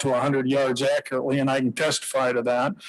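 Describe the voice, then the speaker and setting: Talking at a fairly quick pace with an American accent, a man keeps a monotone, flat intonation at a fairly high pitch. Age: 70s. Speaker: public commenter, veteran. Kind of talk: public testimony. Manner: halting.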